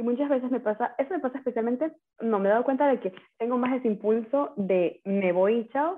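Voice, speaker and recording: Her fairly high pitch and lively intonation mark this woman's unremarkable speaking voice as she talks at a fairly quick pace. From Ecuador, coastal Manabí (Manta). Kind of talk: casual chat.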